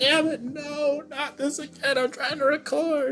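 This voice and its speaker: In a high-pitched put-on character voice, the speaker goes at a fairly slow pace over clear background noise. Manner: angry, exasperated.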